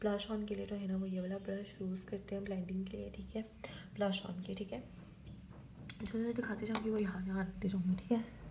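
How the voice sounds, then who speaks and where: A woman's medium-pitched, monotone voice at a moderate pace, with noticeable background noise and audible room echo. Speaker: beauty vlogger. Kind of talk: makeup tutorial. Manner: soft-spoken, quiet so baby won't wake.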